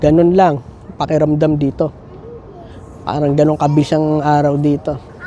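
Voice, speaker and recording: A man with a fairly high voice speaks in a flat monotone, leaving long, frequent pauses. Noticeable background noise runs underneath. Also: moderate pace. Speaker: nurse and family vlogger. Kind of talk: casual vlog chat.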